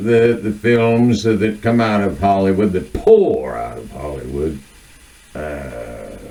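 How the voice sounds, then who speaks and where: A man with an American accent talks at a very slow pace in a fairly low pitch, with very wide pitch swings. Noticeable background noise and audible room echo are present. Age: 60s. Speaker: video essayist. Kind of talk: monologue on literature and culture. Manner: halting, many filler words.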